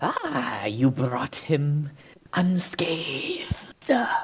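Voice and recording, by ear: The put-on character voice sits at a low-to-middle pitch.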